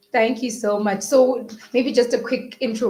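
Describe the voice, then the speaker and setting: An enthusiastic, somewhat breathy woman's voice. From Zimbabwe. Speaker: webinar host, co-founder of an education company. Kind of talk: live webinar interview. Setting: live online webinar.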